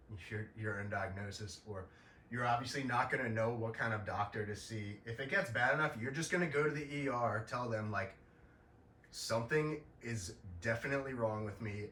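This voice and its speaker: Speaking at a moderate pace, a man with a medium pitch and ordinary pitch variation is heard in a room with audible echo. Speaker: podcaster sharing illness experience. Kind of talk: informal explainer monologue. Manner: halting, many fillers and repetitions; casual.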